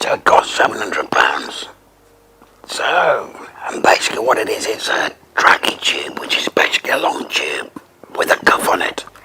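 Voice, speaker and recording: Whispering from a man at a moderate pace, broken by long, frequent pauses, with noticeable background noise. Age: 50s. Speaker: laryngectomee triathlete, former sales manager. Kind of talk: interview answer.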